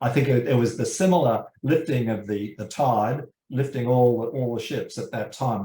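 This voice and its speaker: A man with an Australian accent speaks at a moderate pace and medium pitch. His voice is somewhat breathy, with ordinary pitch variation. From Australia, suburban Sydney. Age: 70s. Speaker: criminology professor. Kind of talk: interview. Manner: halting, many fillers.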